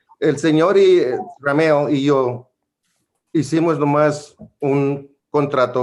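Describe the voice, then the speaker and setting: In a room with audible echo, a man speaks in a fairly high voice with ordinary pitch variation. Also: very even loudness. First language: Spanish. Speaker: landlord in eviction case. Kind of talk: court testimony.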